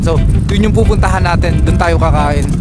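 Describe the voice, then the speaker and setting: A man talks at a very fast pace. Music plays in the background, and there is audible room echo. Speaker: travel vlogger. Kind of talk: casual vlog narration.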